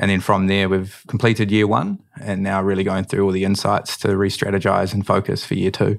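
Fairly quick and with hardly any pauses, a man speaks in a monotone, flat intonation at a fairly low pitch. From New Zealand, Manawatu. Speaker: drinks company co-founder. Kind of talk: interview.

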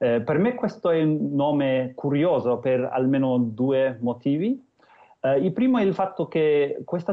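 He speaks at a fairly slow pace with a fairly high pitch. His pitch varies in an ordinary way. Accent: English. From New Zealand, Christchurch. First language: English (speaking Italian). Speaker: Maori cultural guest. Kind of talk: interview. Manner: non-native Italian, hesitant.

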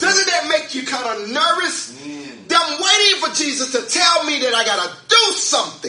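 A man speaks in a raised, projected voice at an extremely high pitch, with very wide pitch swings and an animated tone. His pace is moderate, and there is noticeable background noise. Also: big swings in loudness. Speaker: pastor. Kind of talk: sermon. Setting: church. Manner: animated, fervent preaching with call-and-response.

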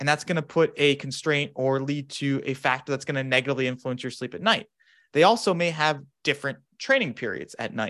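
A man speaks quite quickly in a fairly high pitch with a bright, sharp tone. His pitch varies in an ordinary way on a very clean recording with a silent background. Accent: General American. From US Southwest, Phoenix, Arizona. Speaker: sleep researcher, psychology graduate student. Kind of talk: interview, academic discussion.

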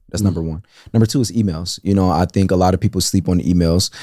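A man's very deep, low voice, dark and mellow in tone, at a very fast pace on a very clean recording with a silent background. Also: dry, close sound with no echo. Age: 20s. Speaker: AI entrepreneur. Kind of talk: casual interview.

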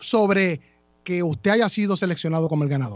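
Here a man speaks with ordinary pitch variation. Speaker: radio host. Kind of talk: radio talk show.

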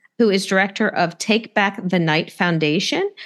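A woman with an ordinary speaking voice, lively intonation and a moderate pace. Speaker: podcast host. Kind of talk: casual chat.

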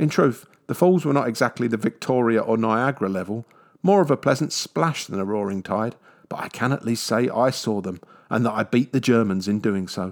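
On a very clean recording with a silent background, a man speaks in a London accent. His pitch is medium and his pace fairly quick. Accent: British, southwest London. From southwest London, England. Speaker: travel podcaster. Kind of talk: scripted narration.

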